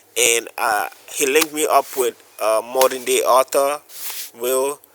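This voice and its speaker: Over noticeable background noise, a man speaks at a very slow pace with long, frequent pauses, holding a medium pitch in a monotone, flat intonation. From West Africa. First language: West African language. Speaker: photographer and video producer. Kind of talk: casual interview chat.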